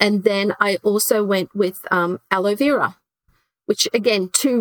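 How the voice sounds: A woman speaks at a medium pitch with ordinary pitch variation. The sound is dry and close, with no echo.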